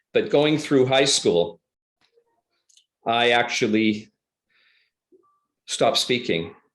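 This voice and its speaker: A man at a medium pitch speaks very slowly with lively intonation and long, frequent pauses. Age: 60s. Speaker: public speaker. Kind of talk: interview answer.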